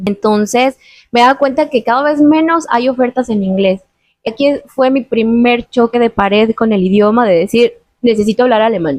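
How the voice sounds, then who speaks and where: Spoken in a Mexican accent at a moderate pace, the lively-intoned voice has a dry, close sound with no echo. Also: woman. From Mexico. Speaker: YouTuber interviewing a guest. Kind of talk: casual interview conversation.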